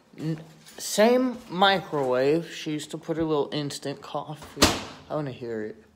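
With lively intonation and a fairly high pitch, a man speaks at a fairly slow pace amid audible room echo.

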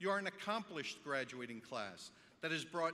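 A man's bright, sharp voice, fairly high in pitch, with very wide pitch swings and vocal fry. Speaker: school superintendent. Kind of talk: formal speech. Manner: formal. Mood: proud, warm, formal. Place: hall. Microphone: podium.

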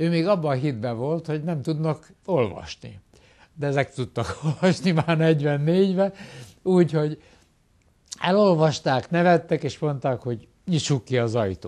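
Over a quiet background, the speaker uses a dark, mellow tone at a fairly slow pace with ordinary pitch variation. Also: man, fairly high pitch for a man. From Hungary, Pécs; Hungary. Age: 70s. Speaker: retired professor. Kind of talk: interview. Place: office. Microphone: lapel.

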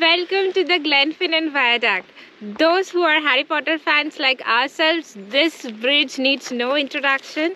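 Her voice sits high in pitch, with ordinary pitch variation at a fairly slow pace. The sound is dry with no echo, and light background noise can be heard behind this woman. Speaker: travel vlogger. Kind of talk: travel vlog presentation. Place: open country.

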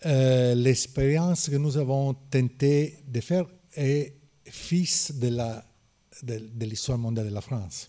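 A man with an Italian accent talks very slowly at a medium pitch, with ordinary pitch variation. His tone is dark and mellow, and the background is quiet. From Naples, Italy. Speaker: historian. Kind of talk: panel discussion. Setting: stage with audience. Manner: halting. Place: classroom. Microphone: podium.

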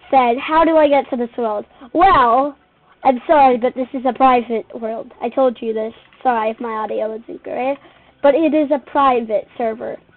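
With ordinary pitch variation, the speech proceeds at a moderate speed. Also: woman, high pitch for a woman. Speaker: gamer narrating own play. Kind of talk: casual gameplay commentary.

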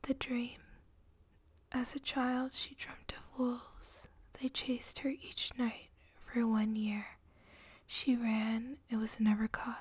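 A soft-spoken woman's whisper, very slow, with long and frequent pauses. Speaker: ASMR creator. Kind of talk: soft reading of flash fiction. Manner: whispered, soft-spoken. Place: home room. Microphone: studio mic.

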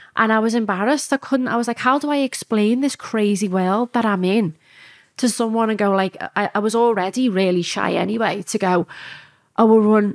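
Over a quiet background, a woman with a Liverpool accent talks at a fairly quick pace and fairly high pitch, with ordinary pitch variation. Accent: Liverpool (Scouse). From Liverpool, England. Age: 30s. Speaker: strip club owner; podcast guest. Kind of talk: interview. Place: studio. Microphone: studio mic.

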